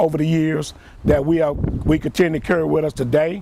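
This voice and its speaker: Speaking in a Mississippi accent, a man with a fairly high pitch and a dark, mellow tone keeps fairly even intonation at a moderate pace. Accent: Southern US (Mississippi). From US South (Jackson, Mississippi). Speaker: retired Marine, war veteran. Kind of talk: interview.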